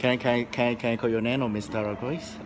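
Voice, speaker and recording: Noticeable background noise is heard. Over it, a man speaks at a medium pitch. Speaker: English teacher. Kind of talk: interview. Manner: halting, many fillers and repeats.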